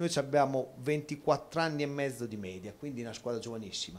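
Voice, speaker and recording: There is ordinary pitch variation in this man's speech. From Città di Castello, Umbria; Umbria. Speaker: football coach. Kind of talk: TV sports talk show. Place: hall. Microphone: handheld.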